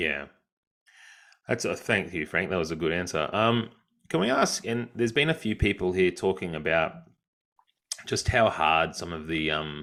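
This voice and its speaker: With an Australian accent, a man speaks at a moderate pace with long, frequent pauses, his very deep, low voice carrying a bright, sharp tone. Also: ordinary pitch variation. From Australia, Brisbane. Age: 30s. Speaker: book club host. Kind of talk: interview. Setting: video call.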